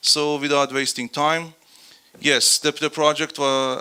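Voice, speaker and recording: Fairly slow male speech, with noticeable background noise behind it. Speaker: senior researcher and project manager presenting. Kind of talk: conference presentation. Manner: loud; halting, many restarts.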